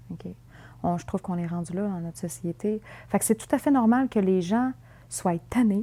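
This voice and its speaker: In a Quebec accent, a somewhat breathy, dark, mellow voice moves at a moderate pace with lively intonation and big swings in loudness, on a very clean recording with a silent background. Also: woman, medium pitch for a woman. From Quebec City, Quebec. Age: 20s. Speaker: documentary interviewee. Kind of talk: interview testimony. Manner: hesitant, many fillers.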